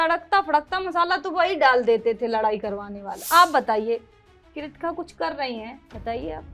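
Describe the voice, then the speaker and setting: A woman speaks in a high, raised, projected voice with very wide pitch swings. Music plays in the background. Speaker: reality show contestant. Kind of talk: interview answer.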